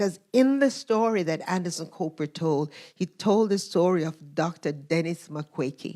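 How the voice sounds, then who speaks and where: At a moderate pace and with hardly any pauses, a woman speaks with lively intonation, a fairly low pitch and a dark, mellow tone, on a very clean recording with a silent background. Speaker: guest speaker, minister. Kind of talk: sermon, storytelling to a congregation.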